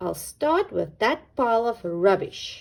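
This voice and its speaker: A put-on character voice growls at a fairly slow pace. The recording is very clean, with a silent background. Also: woman. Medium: read story. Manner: eager, cheerful.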